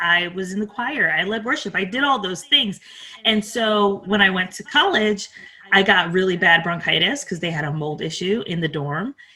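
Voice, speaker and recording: A woman's medium-pitched, plain, everyday voice at a moderate pace, with lively intonation. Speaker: podcast coach. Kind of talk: interview.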